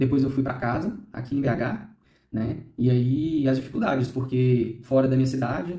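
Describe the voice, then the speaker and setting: Somewhat breathy and dark, mellow in tone, a man's medium-pitched voice comes through with audible room echo. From Minas Gerais, Brazil (Ipatinga). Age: 30s. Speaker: bone marrow transplant survivor. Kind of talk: documentary interview testimony.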